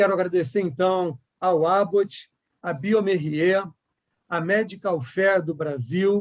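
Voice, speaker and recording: Speaking at a very slow pace, the man has a high pitch and ordinary pitch variation. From Rio de Janeiro, Brazil. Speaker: board chairman, panel moderator. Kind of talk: moderated online panel.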